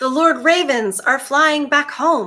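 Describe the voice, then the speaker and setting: Using a put-on character voice, a woman speaks fairly slowly. Her pitch is high. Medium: read story.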